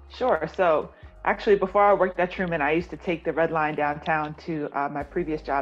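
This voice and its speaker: A woman's very deep, low voice at a moderate pace, with faint music in the background. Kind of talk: interview answer. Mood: warm, positive. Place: home room. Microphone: video call.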